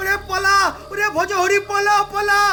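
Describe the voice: A man performs a put-on character voice at an extremely high pitch with a bright, sharp tone. His delivery is flat and monotone at a moderate pace, with faint music in the background.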